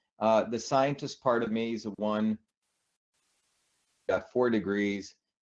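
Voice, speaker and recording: A man with an American accent has an unremarkable speaking voice, fairly low in pitch. His pitch varies in an ordinary way, and the background is quiet. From India and New Jersey. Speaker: scientist and political candidate. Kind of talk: interview. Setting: radio show.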